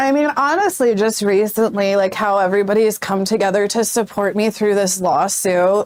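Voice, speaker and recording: Using a strained, put-on character voice, a woman speaks at medium pitch and a moderate pace with very even loudness and hardly any pauses. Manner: strained, hard to talk.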